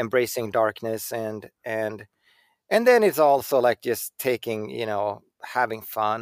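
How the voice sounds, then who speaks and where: A man with a Swedish accent, at a fairly slow pace in a medium pitch, with fairly even intonation and long, frequent pauses, his sound dry and close with no echo on a very clean recording over a silent background. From Sweden. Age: 40s. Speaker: bicycle designer. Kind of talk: casual interview. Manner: halting, repeats words.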